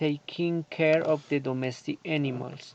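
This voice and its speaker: The pace is very slow, with fairly even intonation. The accent is Colombian. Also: man. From Colombia, Antioquia. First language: Spanish. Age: 30s. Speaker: agronomy student. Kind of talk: prepared self-introduction for English class. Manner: halting.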